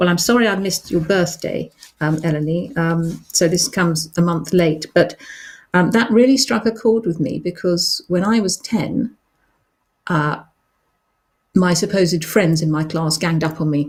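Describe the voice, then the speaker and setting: A woman speaks at a moderate pace with a somewhat breathy voice. Her pitch is fairly low, with ordinary variation. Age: 60s. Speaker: children's author hosting a live show. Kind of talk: live stream chat, reading and answering reader questions. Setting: live online broadcast. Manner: hesitant, many ums.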